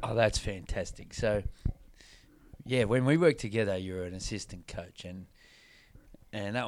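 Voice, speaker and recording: A man talks at a moderate pace with a fairly low pitch. He has an ordinary speaking voice. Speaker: podcast host. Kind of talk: casual interview, team-focused motivational talk.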